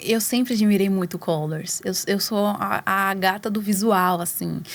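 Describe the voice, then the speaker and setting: The woman moves at a fairly slow pace, her medium pitch held in fairly even intonation. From Brazil, São Paulo metro area. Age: 20s. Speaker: singer. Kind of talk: interview. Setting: studio.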